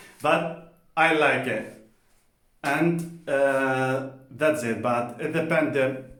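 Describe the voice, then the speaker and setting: Speaking at a very slow pace with long, frequent pauses, a man uses a fairly high pitch and fairly even intonation amid audible room echo. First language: Spanish. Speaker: polyglot language vlogger. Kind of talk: casual personal talk to camera. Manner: halting with many fillers; informal, colloquial.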